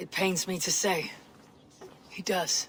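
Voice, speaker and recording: A raspy, middle-pitched put-on character voice with clear background noise. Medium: video game.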